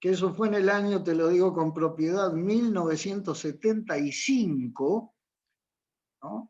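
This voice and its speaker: Against a quiet background, a man speaks at a fairly slow pace with a high pitch and ordinary pitch variation. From Uruguay. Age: 60s. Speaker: marine pilot and teacher. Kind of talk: interview. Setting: video call.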